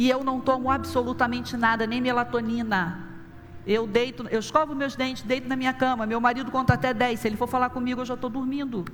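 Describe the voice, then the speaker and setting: With audible room echo, a woman speaks at a very fast pace in a high voice. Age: 60s. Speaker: pastor. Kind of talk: sermon.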